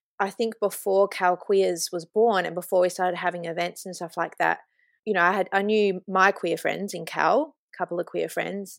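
In a dry, close recording with no echo, a woman with an Australian accent talks fairly quickly at a medium pitch and with fairly even intonation. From Australia, Kalgoorlie (regional WA). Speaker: artist and queer community organiser. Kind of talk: interview. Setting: remote call.

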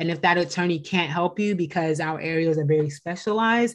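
Against a quiet background, a woman speaks at a fairly quick pace in a fairly low pitch. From US West Coast, San Francisco Bay Area. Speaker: attorney. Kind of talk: interview.

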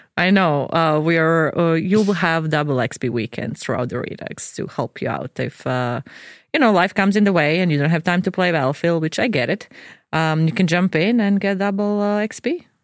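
In a Croatian accent, the speaker moves at a fairly quick pace with lively intonation. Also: woman, fairly low pitch for a woman. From Croatia, Dubrovnik. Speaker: video game producer. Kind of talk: casual chat. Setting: studio.

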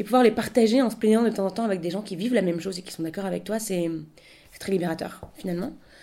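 A woman talks at a very fast pace in a dark, mellow tone, with big swings in loudness. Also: medium pitch for a woman, ordinary pitch variation. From Paris. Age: 20s. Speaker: shop founder. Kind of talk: interview. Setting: radio studio. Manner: hesitant, many fillers.

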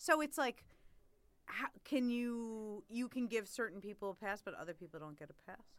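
A woman with a New York accent talks at a moderate pace in a fairly high pitch, with very wide pitch swings and big swings in loudness. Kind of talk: casual chat.

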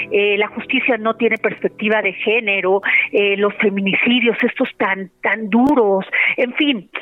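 With a plain, everyday voice, a woman speaks at a fairly high pitch and a fairly slow pace, her intonation fairly even and her loudness very even. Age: 50s. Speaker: radio host. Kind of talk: radio interview.

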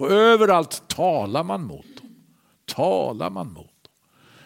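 A man is speaking. His pitch swings very widely. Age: 60s. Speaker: preacher. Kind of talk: sermon.

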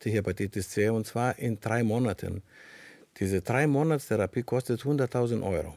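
Heard in a very clean recording with a silent background, the voice has a Greek accent, a dark, mellow tone, ordinary pitch variation, a moderate pace and very even loudness, with a dry, close sound and no echo. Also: man, medium pitch for a man. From Greece. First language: Greek (speaking German). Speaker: panel guest. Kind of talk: panel discussion. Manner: halting.

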